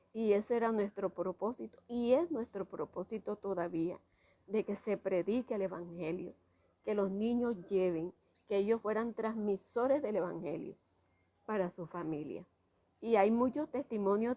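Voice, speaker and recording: A woman's medium-pitched voice, dark and mellow in tone, with ordinary pitch variation, a fairly slow pace, and a dry, close sound with no echo. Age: 70s. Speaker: retired teacher and school founder. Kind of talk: interview testimony.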